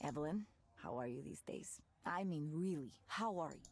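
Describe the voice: This is a put-on character voice. It has a slightly husky edge. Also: woman, low pitch for a woman, lively intonation, moderate pace.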